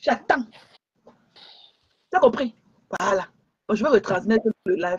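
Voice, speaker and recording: In a dry, close sound with no echo, a woman with a fairly high pitch speaks in an animated tone and lively intonation at a fairly slow pace, leaving long, frequent pauses. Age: 60s. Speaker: social media live streamer. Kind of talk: heated rant on a live stream. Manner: animated, repetitive.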